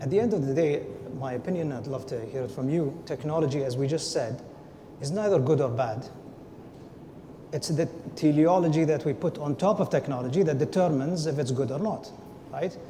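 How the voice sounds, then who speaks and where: This man has a fairly high pitch and a non-native accent, speaking at a fairly quick pace with ordinary pitch variation. His speech has long, frequent pauses, and there is noticeable background noise. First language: not English. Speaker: panelist. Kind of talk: panel discussion.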